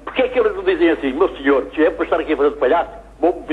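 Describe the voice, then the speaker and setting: A man speaks over noticeable background noise. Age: 70s. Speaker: TV viewer caller, great-grandfather. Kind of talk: phone-in complaint.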